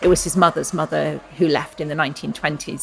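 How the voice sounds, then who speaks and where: Over noticeable background noise, a woman with an English accent talks at a very fast pace, her voice very deep and low with ordinary pitch variation. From England. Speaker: novelist. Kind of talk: interview. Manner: thoughtful, hesitant.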